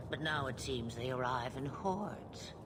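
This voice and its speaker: Loud background noise surrounds a put-on character voice at a low-to-middle pitch and a moderate pace. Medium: video game. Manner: wry, unhurried, theatrical.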